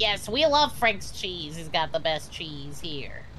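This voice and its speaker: At a fairly slow pace, a female-sounding put-on character voice speaks over clear background noise. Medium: game stream. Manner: quirky, deadpan-silly.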